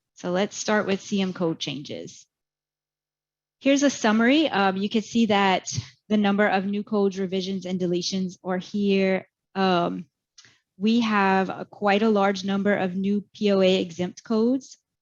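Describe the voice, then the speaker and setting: A woman's normal speaking voice at medium pitch, moderate pace and fairly even intonation, against a quiet background. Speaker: medical coding educator. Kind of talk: webinar presentation.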